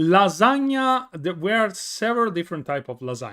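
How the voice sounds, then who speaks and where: In an Italian accent, a raised, projected voice with a bright, sharp tone comes through dry and close with no echo, on a very clean recording with a silent background. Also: man. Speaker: streamer. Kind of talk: casual chat. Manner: halting.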